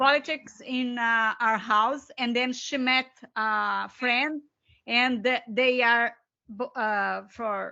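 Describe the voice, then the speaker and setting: A woman speaks in a Brazilian Portuguese accent at a high pitch. Her pace is very slow and her intonation fairly even. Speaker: co-author and educator. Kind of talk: seminar discussion. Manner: halting, searching for words.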